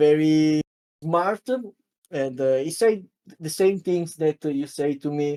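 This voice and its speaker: Speaking at a very slow pace with long, frequent pauses, a man with a fairly high pitch and a dark, mellow tone uses ordinary pitch variation in a dry, close recording with no echo. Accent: Italian. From Italy. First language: Italian. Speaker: card game content creator and panel member. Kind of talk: interview. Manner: halting, many fillers.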